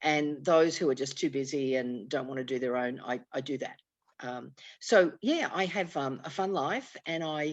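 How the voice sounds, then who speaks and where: A woman talks in a very deep, low pitch with an Australian accent. Behind her, the background is quiet. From Australia, Sydney. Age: 60s. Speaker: networking speaker and author. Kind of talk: casual chat.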